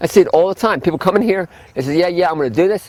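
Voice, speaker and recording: A high-pitched man speaks at a very fast pace. His intonation is lively. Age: 60s. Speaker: health food store owner. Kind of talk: lecture.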